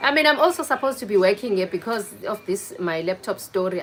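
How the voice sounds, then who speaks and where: A woman's voice with very wide pitch swings, against noticeable background noise. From South Africa. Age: 40s. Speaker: livestreamer, remote office worker. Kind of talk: casual livestream chat. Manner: casual, chatty.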